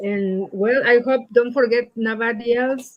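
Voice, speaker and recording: In a Mexican accent, a woman speaks at a fairly slow pace with a fairly high pitch. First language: Spanish. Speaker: poet. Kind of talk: poetry reading event remarks. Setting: livestreamed library reading. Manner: halting.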